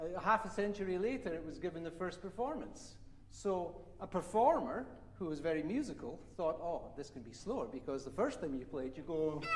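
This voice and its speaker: A man talks at a fairly quick pace with a high pitch and lively intonation. Audible room echo surrounds his voice. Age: 60s. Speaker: viola teacher. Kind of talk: masterclass teaching.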